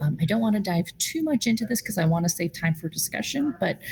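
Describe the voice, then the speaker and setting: A woman speaks at a moderate pace, and noticeable background noise can be heard along with her. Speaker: food policy advocate at a nonprofit. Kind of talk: virtual meeting presentation. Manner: many fillers and false starts.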